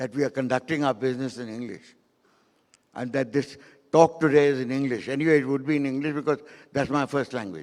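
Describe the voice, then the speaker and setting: A medium-pitched man rushes at a very fast pace with fairly even intonation, broken by long, frequent pauses. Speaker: filmmaker and keynote speaker. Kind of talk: keynote talk.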